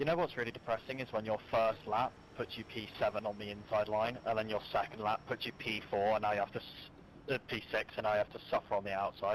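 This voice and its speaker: A man with a British accent talks very fast at a fairly low pitch. His intonation stays fairly even. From Britain. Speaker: sim racer. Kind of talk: casual chat.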